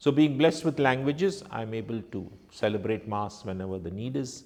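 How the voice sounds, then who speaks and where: Speaking at a moderate pace, a man with a Goan accent uses lively intonation. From India, Konkani-speaking family. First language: Konkani. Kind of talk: reflective testimony.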